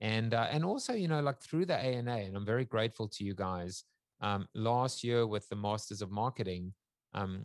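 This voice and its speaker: Recorded very cleanly over a silent background with a dry, close sound and no echo, a man with an unremarkable speaking voice talks at a moderate pace and a fairly low pitch. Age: 50s. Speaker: futurist, author and talk show host. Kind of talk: interview.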